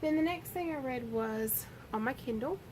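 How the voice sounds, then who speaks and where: Her pitch high and her intonation lively, a woman with a Southern US accent speaks at a fairly slow pace. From US South. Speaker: book vlogger. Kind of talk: casual book review monologue. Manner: rambling with hesitations.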